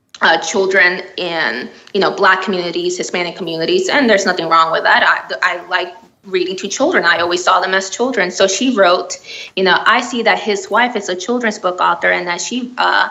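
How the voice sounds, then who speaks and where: Audible room echo surrounds a woman speaking at a fairly quick pace. Her medium-pitched voice has ordinary pitch variation. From Miami, Florida. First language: Spanish. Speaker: children's book author. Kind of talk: interview. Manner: halting, many fillers.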